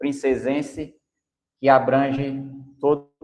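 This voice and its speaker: A man speaks very slowly in a fairly high-pitched voice. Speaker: podcast host. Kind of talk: podcast interview.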